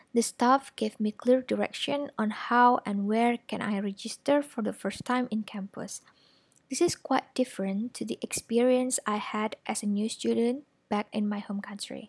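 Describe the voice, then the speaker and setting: A woman with an Indonesian accent speaks at a fairly slow pace and fairly high pitch with ordinary pitch variation, in a dry, close sound with no echo. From Indonesia, Malang, East Java. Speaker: finance graduate and strategic planner. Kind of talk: prepared talk to an audience. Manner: formal.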